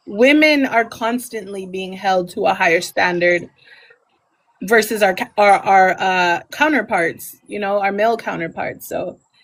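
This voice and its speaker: A woman speaks with an American accent at a medium pitch and a fairly slow pace. She has an ordinary speaking voice with ordinary pitch variation. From Texas. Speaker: podcast host. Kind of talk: interview.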